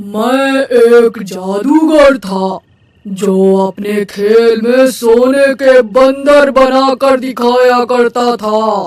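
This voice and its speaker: In a cartoonish character voice, a man talks at an extremely high pitch and a very slow pace with hardly any pauses. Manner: calm, measured.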